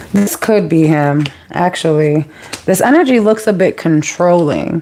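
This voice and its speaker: A woman's very deep, low voice moves at a fairly slow pace. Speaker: tarot reader. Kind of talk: live tarot reading. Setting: livestream. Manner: casual, chatty.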